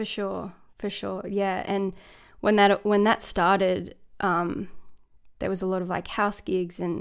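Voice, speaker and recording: Speaking with vocal fry in an Australian accent, a woman uses a medium pitch, monotone, flat intonation and a moderate pace. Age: 30s. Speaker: singer-songwriter and producer. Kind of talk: casual interview chat. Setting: video call.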